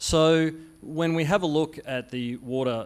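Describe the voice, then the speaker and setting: A man is speaking. He has an Australian accent. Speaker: conference speaker, utility software industry. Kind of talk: conference presentation. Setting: conference stage with audience. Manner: hesitant, many fillers and restarts.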